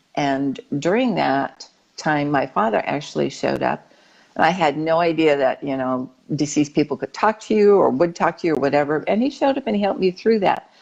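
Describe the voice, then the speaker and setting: At a fairly quick pace, a woman with a very deep, low pitch speaks with lively intonation. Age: 60s. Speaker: spiritual guest, tapestry artist. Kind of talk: interview storytelling.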